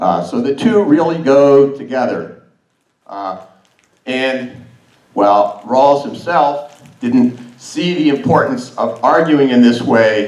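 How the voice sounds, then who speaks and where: A man speaks at a very slow pace in a medium pitch, with audible room echo. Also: lively intonation. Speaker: academic conference speaker. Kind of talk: conference talk. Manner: loud.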